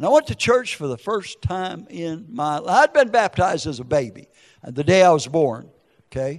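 This man speaks with an American accent and a high pitch, his voice making very wide pitch swings. His pace is moderate and the background is quiet. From US Upper Midwest. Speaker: ex-convict prison minister. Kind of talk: testimony. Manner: animated.

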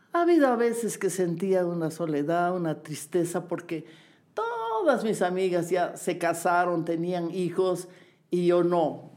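A woman with a fairly low pitch talks at a fairly slow pace and with fairly even intonation, her voice carrying audible room echo. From Bolivia. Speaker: dancer and choreographer. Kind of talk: interview. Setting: at home.

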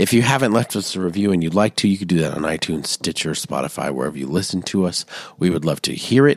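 With vocal fry and a very deep, low pitch, a man talks at a very fast pace with lively intonation. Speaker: podcast co-host. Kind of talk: casual chat.

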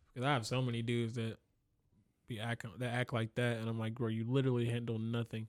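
Speaking at a very fast pace, a man talks in a medium-pitched, monotone, flat voice, recorded very cleanly against a silent background with a dry, close sound and no echo. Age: 20s. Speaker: rapper and optician. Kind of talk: casual chat.

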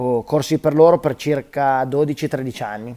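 Very slowly and with fairly even intonation, a man talks at a medium pitch. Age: 30s. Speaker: professional BMX freestyle rider. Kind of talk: interview. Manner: halting, with frequent repetitions.

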